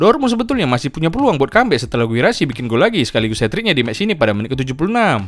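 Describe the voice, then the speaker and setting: Talking at a very fast pace, a man uses vocal fry and very wide pitch swings. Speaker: football content creator. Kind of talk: comedic football commentary vlog. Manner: animated.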